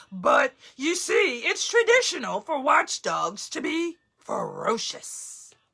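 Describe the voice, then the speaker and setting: A woman performs a put-on character voice at an extremely high pitch. Her pitch swings are very wide and her pace is fairly slow. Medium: read story. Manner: earnest, emotional.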